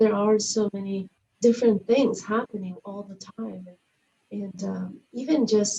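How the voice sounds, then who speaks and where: A woman's voice, somewhat breathy, at a medium pitch. Her tone is dark and mellow. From outside the US. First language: not English. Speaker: community organization host. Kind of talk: interview conversation.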